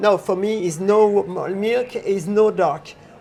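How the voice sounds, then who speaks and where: A man talks at a high pitch with a French accent. Noticeable background noise runs behind him. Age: 60s. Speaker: chocolatier. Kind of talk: casual interview. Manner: halting.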